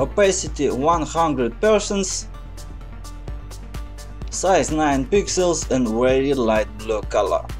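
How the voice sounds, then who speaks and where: A very slow voice in a Russian accent, with long, frequent pauses and music in the background. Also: man. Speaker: Photoshop tutorial maker. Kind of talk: software tutorial narration.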